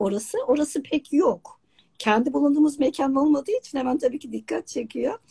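A woman's dark, mellow voice at a moderate pace against a quiet background. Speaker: online talk show host. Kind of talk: live interview. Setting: video call. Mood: warm, enthusiastic. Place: home room. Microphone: video call.

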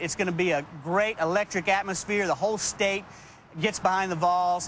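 A man with an American accent talks at a fairly quick pace with fairly even intonation. The sound is dry with no echo, over light background noise. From Texas. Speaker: tailgating association representative. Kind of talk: TV interview. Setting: TV studio. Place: street.

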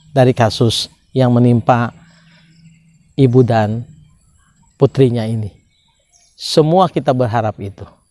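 A man speaks at a very slow pace in a dark, mellow tone, with a dry sound and no echo. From Indonesia, Subang, West Java; West Java, Indonesia. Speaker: law educator; law commentator. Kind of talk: lecture. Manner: formal. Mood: calm, earnest. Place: open country. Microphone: lapel.

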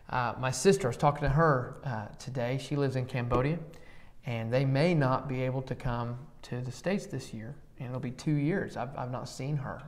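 The man's pitch varies in an ordinary way as he talks at a moderate pace. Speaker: church podcast host. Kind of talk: casual conversational Bible discussion. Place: classroom. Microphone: lapel.

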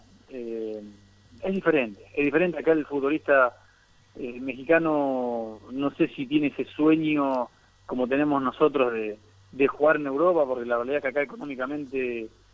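In an Argentine accent, a man talks at a fairly high pitch. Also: ordinary pitch variation, moderate pace. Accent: Argentine Spanish (Rioplatense). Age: 30s. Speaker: professional footballer. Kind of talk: interview.

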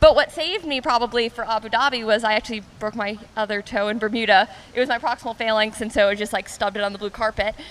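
A woman talks at a very fast pace in an American accent. Her pitch is fairly high, with ordinary pitch variation. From US. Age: 20s. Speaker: professional triathlete. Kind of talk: interview. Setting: on location at a restaurant. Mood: relaxed, friendly, smiling. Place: waterside. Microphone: handheld.

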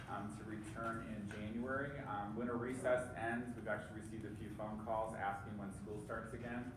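A man speaks over noticeable background noise, with audible room echo. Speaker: superintendent giving a report. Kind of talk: formal meeting report. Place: meeting room.

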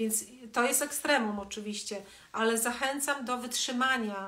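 A woman's fairly high voice at a moderate pace. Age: 50s. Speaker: wellness educator hosting a live stream; coach or therapist. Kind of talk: live stream talk to viewers. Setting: Instagram live video. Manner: conversational, with many fillers. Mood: calm, warm, reflective. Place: home room. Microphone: phone near.

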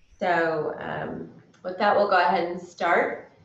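A woman's fairly low voice at a fairly slow pace, with audible room echo. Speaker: yoga instructor. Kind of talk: class instruction and scripture reading. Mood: calm, gentle. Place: home room. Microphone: camera far.

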